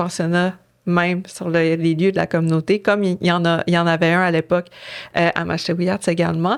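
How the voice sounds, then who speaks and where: This woman's pitch is fairly low. She talks at a moderate pace. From Innu community, Quebec. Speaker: author. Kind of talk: interview. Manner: halting, many fillers.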